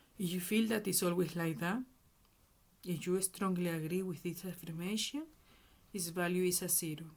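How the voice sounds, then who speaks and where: With a Spanish accent, the speaker keeps a moderate pace broken by long, frequent pauses. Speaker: self-help educator. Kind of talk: tutorial. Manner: halting.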